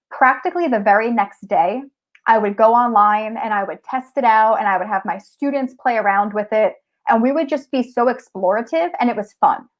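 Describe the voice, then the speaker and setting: In a strong New Jersey accent, a woman speaks at a fairly quick pace with a fairly high pitch and ordinary pitch variation. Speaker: technology teacher and tech coach. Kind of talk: conference presentation.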